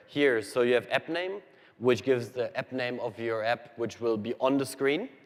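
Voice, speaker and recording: A man speaks with a German accent in a medium pitch. His pace is fairly quick. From Germany. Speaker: software engineer presenting to developers. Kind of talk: technical presentation. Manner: fast.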